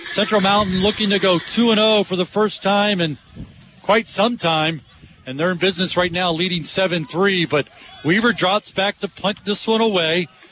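A man talks at a moderate pace in a high pitch. Noticeable background noise is present. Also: ordinary pitch variation. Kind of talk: live commentary.

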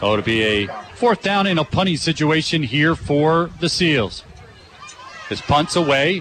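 Over noticeable background noise, a man with a fairly high pitch talks at a fairly slow pace with lively intonation. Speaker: play-by-play announcer. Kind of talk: live sports commentary.

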